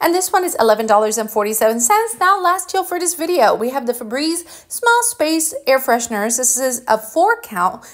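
Upbeat in tone, a woman with a high pitch talks with very wide pitch swings and hardly any pauses over noticeable background noise. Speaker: deal-sharing video host. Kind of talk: rapid-fire sales pitch, pitchman-style deal rundown. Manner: brisk, upbeat, urgent; chatty, friendly, directly addressing viewers.

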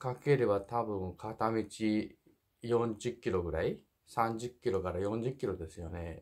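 With lively intonation and a fairly slow pace, a man's voice comes through over a quiet background. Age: 50s. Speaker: truck driver and YouTuber. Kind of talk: casual monologue advice video. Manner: jokey, rambling, animated. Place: home room. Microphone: phone near.

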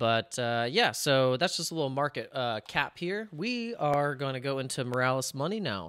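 A man is heard against a quiet background with a dry sound with no echo. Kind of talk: screen-share commentary. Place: home room.

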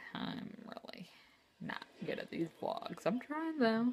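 Woman with an American accent and very wide pitch swings, over light background noise. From New Jersey. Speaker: vlogger. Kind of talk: casual vlog monologue. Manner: hesitant, many fillers. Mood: casual, slightly self-deprecating. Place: home room. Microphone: phone near.

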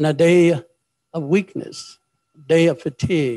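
Over a quiet background, a man's voice has a dark, mellow tone and fairly even intonation. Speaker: preacher. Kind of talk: prayer then sermon. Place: church. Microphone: handheld.

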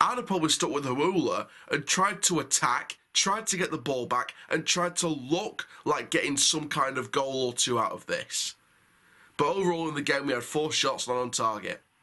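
Against a quiet background, a man with a bright, sharp tone talks at a moderate pace. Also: lively intonation. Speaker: football fan reviewer. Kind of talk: match review commentary. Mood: frustrated, critical.

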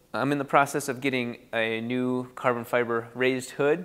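This is a man speaking. The background is quiet. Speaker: host. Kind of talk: casual vlog chat. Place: garage. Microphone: lapel.

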